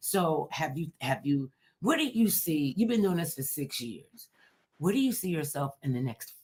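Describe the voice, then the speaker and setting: Loud and animated, a woman speaks with very wide pitch swings. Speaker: talk show host. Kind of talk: casual chat.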